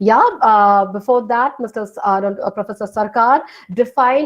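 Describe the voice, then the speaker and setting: With a Bengali accent, a woman speaks at a moderate pace using lively intonation. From north India (Hindi-speaking region). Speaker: film studies lecturer. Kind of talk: lecture. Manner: halting.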